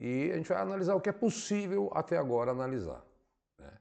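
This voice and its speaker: A man's dark, mellow tone, lively intonation and moderate pace over a quiet background. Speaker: teacher. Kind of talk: lecture.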